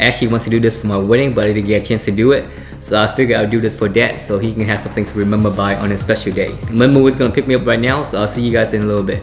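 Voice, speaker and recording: Very fast speech with ordinary pitch variation, faint music playing behind it. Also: man, fairly low pitch for a man. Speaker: vlogger. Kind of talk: casual vlog chat. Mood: warm, upbeat. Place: home room. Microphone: phone near.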